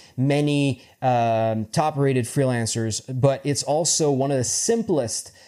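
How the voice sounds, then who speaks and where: A man's fairly high voice with a dark, mellow tone and ordinary pitch variation, in a French accent, on a very clean recording with a silent background. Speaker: freelance web developer and tutorial creator. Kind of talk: tutorial. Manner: halting, with many fillers and repetitions.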